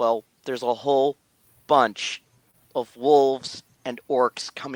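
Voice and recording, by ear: The text is read aloud in a natural voice. The intonation stays fairly even over a quiet background.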